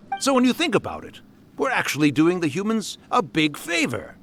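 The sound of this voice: Using a put-on character voice, a man talks at a fairly quick pace in a high pitch. His tone is fairly bright and his pitch swings very widely.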